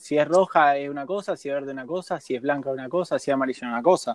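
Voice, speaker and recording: A Rioplatense accent with a dry, close sound and no echo. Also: man. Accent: Argentine Spanish (rioplatense). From Argentina. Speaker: sailor. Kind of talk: interview.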